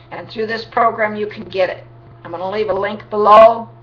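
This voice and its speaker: A woman's fairly high voice amid noticeable background noise and audible room echo. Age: 60s. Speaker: vlogger promoting a home business. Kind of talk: sales pitch. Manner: animated.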